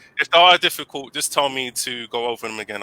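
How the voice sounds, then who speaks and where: A man speaks in a London accent at a medium pitch. The sound is dry and close, with no echo. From England, London. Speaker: English teacher. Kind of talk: casual interview chat.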